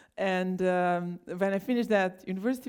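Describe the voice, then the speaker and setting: Her pitch fairly low and its variation ordinary, a woman speaks at a moderate pace. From Bosnia and Herzegovina, Trebinje. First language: Bosnian. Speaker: scientist. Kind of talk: conference talk. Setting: stage with audience.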